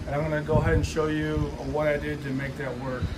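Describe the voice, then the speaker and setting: The speaker is a man. Noticeable background noise runs through the clip. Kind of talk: tutorial. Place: garage. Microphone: camera far.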